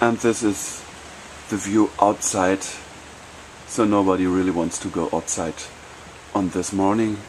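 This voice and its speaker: A normal speaking voice moves at a fairly slow pace with fairly even intonation. Light background noise runs underneath. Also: man, fairly low pitch for a man. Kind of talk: casual tour commentary. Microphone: phone near.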